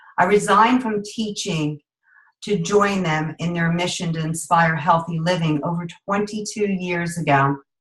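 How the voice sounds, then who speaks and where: The voice is somewhat breathy. Its pitch varies in an ordinary way. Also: woman, fairly low pitch for a woman, moderate pace. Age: 50s. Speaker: network marketing director, former teacher. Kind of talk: sales pitch with personal testimony. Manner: animated.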